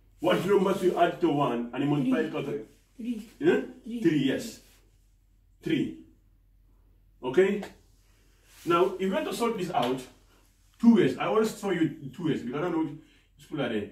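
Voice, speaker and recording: A man speaks loudly in a high voice with very wide pitch swings, at a moderate pace with long, frequent pauses, and the room echo is audible. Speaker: maths teacher. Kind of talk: lecture. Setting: classroom. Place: classroom. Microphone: camera far.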